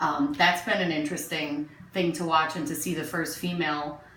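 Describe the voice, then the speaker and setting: A woman with an American accent talks at a moderate pace in a very deep, low pitch. Noticeable background noise and audible room echo fill the recording. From Newark, New Jersey, US. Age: 40s. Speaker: interviewee neighbor. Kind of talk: casual interview.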